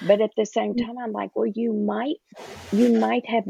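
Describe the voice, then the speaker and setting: A woman with a Southern US accent in a dry, close sound with no echo. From US South. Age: 60s. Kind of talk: podcast interview.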